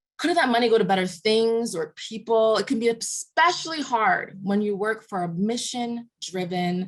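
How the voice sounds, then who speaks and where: Somewhat breathy, a woman speaks at a fairly high pitch with lively intonation. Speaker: workshop leader. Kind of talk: online workshop presentation. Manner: fast.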